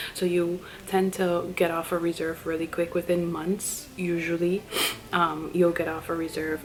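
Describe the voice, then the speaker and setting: A soft-spoken woman, fairly low in pitch, at a moderate pace in a monotone, flat intonation, with noticeable background noise. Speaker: flight attendant vlogger. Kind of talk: casual vlog talk to camera.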